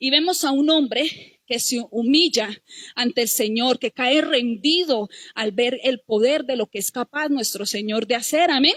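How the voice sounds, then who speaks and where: A woman's high voice, fairly slow, with ordinary pitch variation and a dry, close sound with no echo. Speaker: lay preacher. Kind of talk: sermon.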